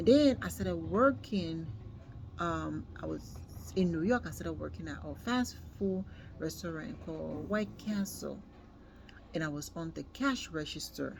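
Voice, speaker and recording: Speaking with a strong non-native accent, a woman pauses long and often while her loudness swings widely. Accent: non-native foreign accent, still strong. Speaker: worker sharing experience. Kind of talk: personal testimony. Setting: at workplace. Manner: hesitant, many fillers.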